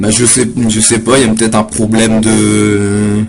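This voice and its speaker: A man at a very slow pace, his pitch fairly low. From northern France. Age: 20s. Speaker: poet. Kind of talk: casual chat. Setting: live webcam stream. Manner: halting.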